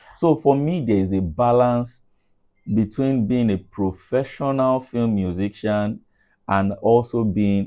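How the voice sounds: Slow and medium in pitch, a man speaks in a dark, mellow tone. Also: ordinary pitch variation.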